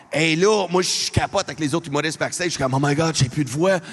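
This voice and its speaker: In an Albertan accent, the speaker talks at a very fast pace with ordinary pitch variation. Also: man. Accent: Franco-Albertan accent noted. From Alberta, Canada (francophone). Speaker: comedian. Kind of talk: stand-up. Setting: arena stage with audience. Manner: loud.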